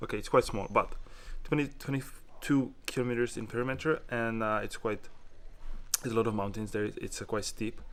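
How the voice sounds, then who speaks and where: In a non-native accent, this man talks at a medium pitch. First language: not English. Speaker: motorcycle tour vlogger. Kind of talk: casual travel vlog narration. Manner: halting, with many fillers.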